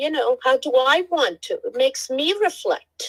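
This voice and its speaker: This woman's high-pitched voice moves through very wide pitch swings. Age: 60s. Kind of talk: casual chat.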